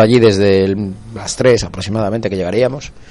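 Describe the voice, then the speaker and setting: Moderate-paced speech from a man against noticeable background noise. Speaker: football supporters' group radio host. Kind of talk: casual chat.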